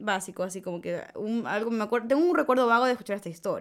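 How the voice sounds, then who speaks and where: With an unremarkable speaking voice, a woman uses a fairly high pitch and lively intonation on a very clean recording with a silent background. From Ecuador, Manabí coast. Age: 20s. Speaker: podcast host, medical student. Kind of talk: casual chat, storytelling. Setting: studio.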